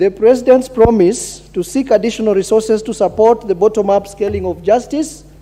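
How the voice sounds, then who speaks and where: A man with a high pitch talks at a fairly quick pace with hardly any pauses. His pitch varies in an ordinary way over noticeable background noise. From northern Kenya, Mandera County. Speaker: member of parliament. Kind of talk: parliamentary speech. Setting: national assembly chamber. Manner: halting, many fillers and repetitions.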